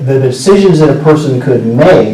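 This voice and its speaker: A man with a West Coast US accent is heard with audible room echo and noticeable background noise. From US Pacific Northwest, Seattle. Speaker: storyteller. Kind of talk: talk to students. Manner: casual, conversational with fillers.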